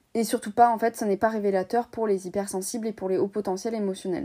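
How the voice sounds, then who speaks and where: Speaking at a fairly quick pace, a woman has a medium pitch and a dark, mellow tone with fairly even intonation. The recording is very clean, with a silent background. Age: 20s. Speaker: YouTuber and podcaster. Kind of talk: personal testimony.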